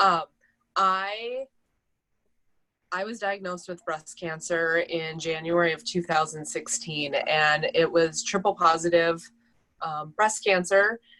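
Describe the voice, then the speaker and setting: A woman with a Minnesotan accent, a bright, sharp tone and fairly low pitch, ordinary pitch variation, a fairly slow pace and long, frequent pauses. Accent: Minnesota. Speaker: breast cancer survivor. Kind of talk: personal testimony.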